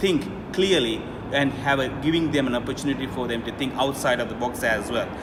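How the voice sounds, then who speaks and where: Through noticeable background noise, a man talks at a medium pitch with ordinary pitch variation. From Sri Lanka (Jaffna). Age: 30s. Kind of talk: interview answer.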